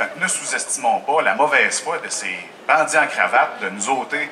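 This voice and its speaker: Over noticeable background noise, a man speaks at a moderate pace with a Quebec accent. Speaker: union representative. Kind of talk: public speech at open-air Q&A. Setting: outdoor festival crowd.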